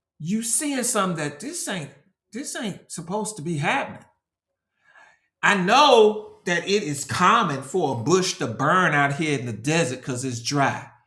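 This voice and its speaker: With audible room echo, a man talks at a high pitch and fairly slow pace, his pitch swinging very widely. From Nashville, Tennessee. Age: 50s. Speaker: branding consultant. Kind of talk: casual interview with preaching. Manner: animated; repetitive fillers.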